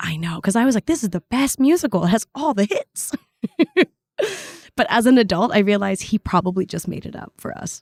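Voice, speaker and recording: A woman with a Canadian accent, medium-pitched and somewhat breathy, fairly quick and animated with lively intonation, in a dry, close sound with no echo. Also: big swings in loudness. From Canada, Vietnamese immigrant family. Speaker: actor. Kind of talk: casual interview chat. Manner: animated, expressive.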